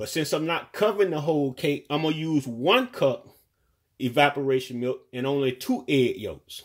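The background stays quiet. Against it, a man talks with ordinary pitch variation at a moderate pace. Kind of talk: tutorial. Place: kitchen. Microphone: phone near.

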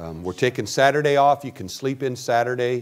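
Moderate pace from a male speaker. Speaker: pastor. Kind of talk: church announcements before a sermon. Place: church.

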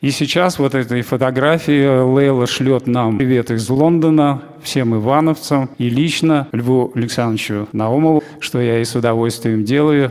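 A man talks at a fairly slow pace, his loudness very even and his intonation fairly even. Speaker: event host. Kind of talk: formal introduction. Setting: stage with audience. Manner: formal. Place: hall. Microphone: handheld.

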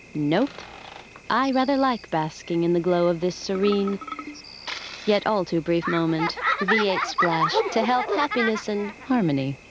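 With long, frequent pauses, a woman speaks at a fairly slow pace, the sound dry with no echo and noticeable background noise behind her. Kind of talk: commercial voice-over monologue.

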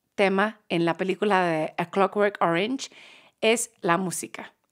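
A woman with an English accent speaks at a fairly slow pace. The recording is very clean with a silent background. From Manchester, England. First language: English (speaking Spanish). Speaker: podcast guest. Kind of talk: casual chat. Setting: studio.

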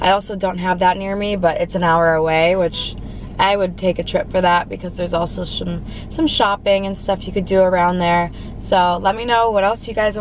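A woman talks at a fairly quick pace with fairly even intonation. The sound is dry with no echo, with light background noise. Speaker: food vlogger. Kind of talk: casual vlog chat. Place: car.

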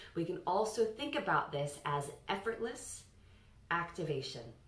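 A woman speaks in a calm tone. Audible room echo surrounds her voice. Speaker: voice coach. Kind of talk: tutorial. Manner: instructional, calm. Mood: calm, instructive. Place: home room. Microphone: camera far.

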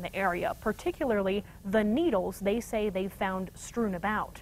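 A woman talks at a moderate pace. Light background noise sits behind her. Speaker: news anchor. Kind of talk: news reading. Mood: serious. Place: studio.

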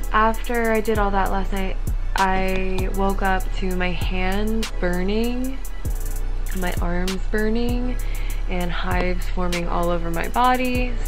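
Clear music plays in the background. The speech moves at a very slow pace with fairly even intonation. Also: woman, very even loudness. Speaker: vlogger. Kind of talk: casual vlog chat. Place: home room. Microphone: phone near.

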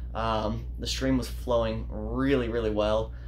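Light background noise accompanies a man talking at a moderate pace. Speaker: fishing channel host. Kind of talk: casual vlog chat. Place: home room. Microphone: phone near.

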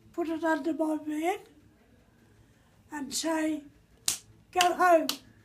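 A woman's extremely high-pitched voice, monotone and flat, at a very slow pace over noticeable background noise. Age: 90s. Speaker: retired sportswoman; elderly storyteller. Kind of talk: casual chat. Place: home room. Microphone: phone near.

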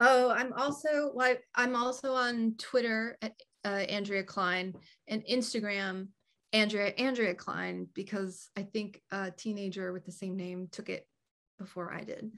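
Against a quiet background, a woman with a fairly high pitch speaks at a fairly slow pace with ordinary pitch variation. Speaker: author and performance artist; guest. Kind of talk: casual chat. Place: home room. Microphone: video call.

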